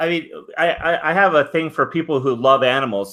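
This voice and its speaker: This man's pitch varies in an ordinary way while his pace stays moderate. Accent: Californian. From Southern California. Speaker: live stream host. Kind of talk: casual chat. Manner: halting.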